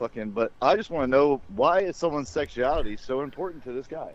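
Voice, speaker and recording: A fairly quick, lively-toned man with a slight Southern accent. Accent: slight southern twang. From rural US South. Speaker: podcast host. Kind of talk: casual chat. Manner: animated.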